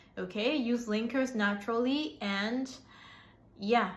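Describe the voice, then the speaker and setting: A somewhat breathy woman with an American accent speaks with ordinary pitch variation, and audible room echo surrounds her. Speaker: English teacher. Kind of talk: tutorial. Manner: hesitant, many fillers.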